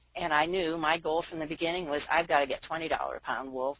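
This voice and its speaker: Speaking at a very fast pace, a woman with an American accent has a very deep, low pitch and fairly even intonation. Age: 60s. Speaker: farmer. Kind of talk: presentation. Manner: hesitant, many fillers.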